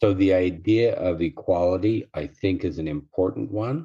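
A man's low, dark, mellow voice at a moderate pace with ordinary pitch variation

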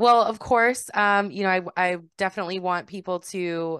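The recording has a quiet background and a dry, close sound with no echo. A woman speaks at a medium pitch with fairly even intonation. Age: 30s. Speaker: podcast host and sex worker advocate. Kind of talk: casual interview chat.

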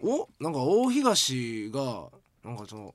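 A man speaks with a Kansai accent. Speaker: podcast co-host. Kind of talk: casual chat.

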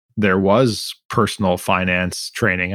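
A man with a normal speaking voice, fairly low in pitch, at a moderate pace in a very clean recording with a silent background. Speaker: podcast host. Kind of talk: interview conversation.

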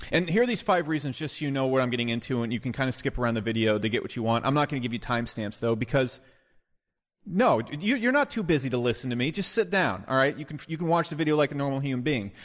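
A man with a medium pitch talks at a very fast pace, his tone animated. His intonation is lively, and the background is quiet. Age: 30s. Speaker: business advice video creator. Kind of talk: casual monologue.

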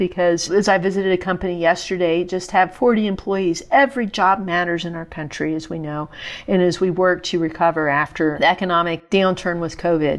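At a fairly quick pace with hardly any pauses, a woman with a normal speaking voice talks at medium pitch with fairly even intonation. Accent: American. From West Virginia. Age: 40s. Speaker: federal agency head. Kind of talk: interview. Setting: remote from Fargo, North Dakota.

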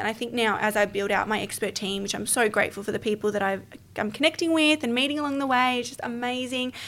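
With hardly any pauses, the talking rushes along very fast, its pitch varying in an ordinary way. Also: woman. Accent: Australian. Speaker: podcast guest, business founder. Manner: fast talker.

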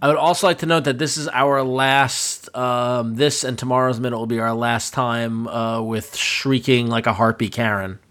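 An unremarkable speaking voice at a moderate pace, with fairly even intonation and hardly any pauses. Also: man, medium pitch for a man. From Long Island, New York. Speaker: podcast host. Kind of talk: casual chat; show outro. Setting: studio.

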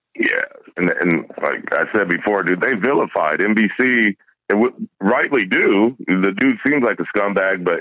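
The man here talks at a moderate pace. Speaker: caller. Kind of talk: casual chat. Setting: phone call. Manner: animated.

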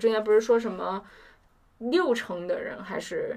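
Woman with a plain, everyday voice, fairly high pitch and a fairly slow pace. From China, Chongqing. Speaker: university student. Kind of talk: casual chat.

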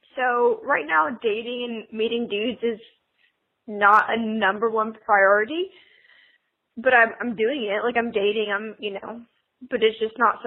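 With an American accent, a woman talks at a moderate pace in a fairly high pitch. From US South. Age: 20s. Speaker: caller. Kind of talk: voice message.

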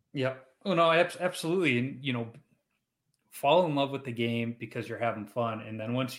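Speaking with a Chicago accent at a fairly quick pace, a man keeps a medium pitch with ordinary pitch variation. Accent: Chicago American English. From Chicago, US Midwest. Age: 40s. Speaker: podcast host, amateur goalie. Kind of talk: casual interview chat.

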